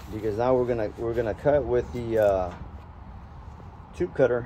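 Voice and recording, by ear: A man with a medium pitch speaks in a dark, mellow tone, showing ordinary pitch variation. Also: moderate pace.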